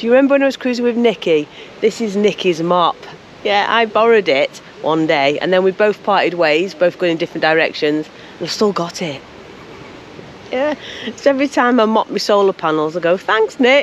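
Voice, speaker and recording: A woman with lively intonation at a fairly quick pace, dry with no echo, over light background noise. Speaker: solo boat life vlogger. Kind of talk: casual vlog chat. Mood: cheerful, chatty. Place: waterside. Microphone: phone near.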